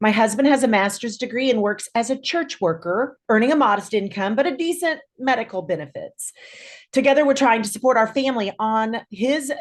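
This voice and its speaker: Against a quiet background, a woman with an American accent uses an ordinary speaking voice, fairly high in pitch, at a fairly quick pace with lively intonation. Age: 60s. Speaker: clinical social worker. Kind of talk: prepared statement read aloud. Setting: video call.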